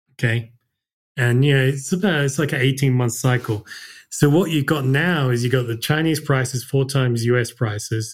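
A man with an Australian accent speaks at a moderate pace and medium pitch, somewhat breathy. Pitch variation is ordinary, and the recording is very clean with a silent background. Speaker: investment fund manager. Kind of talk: casual interview.

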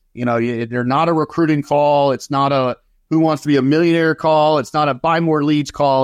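Against a quiet background, a man with a fairly high voice speaks at a moderate pace. His pitch varies in an ordinary way, and the sound is dry and close with no echo. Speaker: sales executive. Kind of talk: casual interview.

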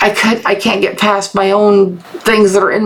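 Medium pitch from a woman at a moderate pace, with noticeable background noise. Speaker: movie review podcaster. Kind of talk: solo podcast review. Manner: reverent, subdued; halting, tripping over words.

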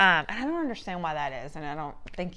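A woman talks at a very fast pace in a fairly low pitch. Her tone is bright and sharp. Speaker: podcast host. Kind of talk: casual chat interview. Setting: home, recorded in a house.

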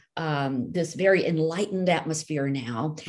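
This woman has an unremarkable speaking voice with an American accent, pitched fairly low. She talks at a moderate pace with lively intonation. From India, raised in the US from age nine. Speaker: novelist. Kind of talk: interview conversation.

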